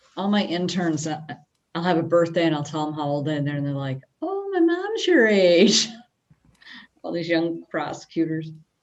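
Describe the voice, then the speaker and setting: A woman's fairly low-pitched voice at a moderate pace, with fairly even intonation, long and frequent pauses, and audible room echo. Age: 50s. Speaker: prosecutor's office staff. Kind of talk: casual chat.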